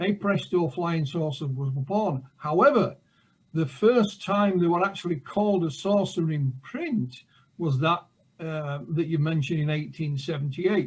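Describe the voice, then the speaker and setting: Speaking at a fairly slow pace with a Yorkshire accent, a man uses a fairly high pitch and ordinary pitch variation. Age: 60s. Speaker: author and UFO researcher. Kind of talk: interview. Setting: live show.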